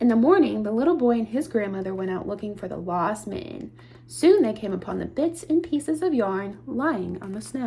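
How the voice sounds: The voice reads the text aloud. It is a natural reading voice.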